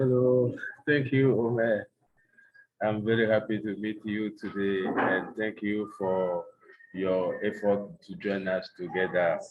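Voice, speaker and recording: A man with a Togolese accent speaks very slowly. His pitch is fairly low, with ordinary variation. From Togo, West Africa. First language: French. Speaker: NGO executive director. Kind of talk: online panel presentation.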